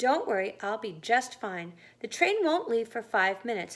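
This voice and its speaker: A female-sounding voice does a put-on character voice at a moderate pace. The recording is very clean with a silent background. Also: fairly high pitch for a woman. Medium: read story. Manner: calm, reassuring.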